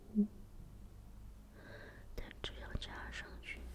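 The tone is gentle. Everything comes out in a whisper. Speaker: reader. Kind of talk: quiet ASMR book reading. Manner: quiet, gentle, soft-spoken.

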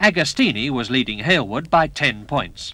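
A man's voice swings very widely in pitch, its tone bright and sharp. The sound is dry, with no echo. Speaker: racing commentator narrator. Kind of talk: documentary narration. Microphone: old recording.

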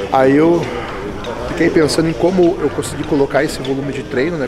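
Loud background noise runs under this recording. A man speaks at a fairly quick pace with ordinary pitch variation. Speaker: bodybuilding coach. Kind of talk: casual explanation of training method. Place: gym.

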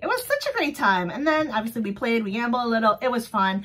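An animated, fairly high-pitched woman at a very fast pace, with ordinary pitch variation. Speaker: vlogger running a small sticker shop. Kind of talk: casual solo vlog. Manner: loud, animated. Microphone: phone near.

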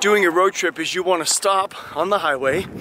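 A man at a moderate pace, with a dry sound with no echo and noticeable background noise. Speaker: travel vlogger. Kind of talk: casual vlog chat. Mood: annoyed ranting. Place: open country. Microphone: phone near.

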